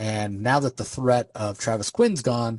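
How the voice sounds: A reading voice that sounds natural, pitch moving within normal bounds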